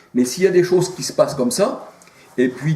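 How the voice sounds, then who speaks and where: A man's voice with audible room echo. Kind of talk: informal sermon to camera. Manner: hesitant, many fillers.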